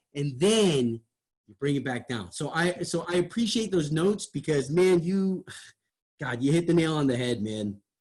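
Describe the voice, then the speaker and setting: A man speaks with an animated tone, fairly high pitch and lively intonation. His pace is moderate, with big swings in loudness. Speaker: radio host. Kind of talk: feedback discussion. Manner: animated, wide pitch range.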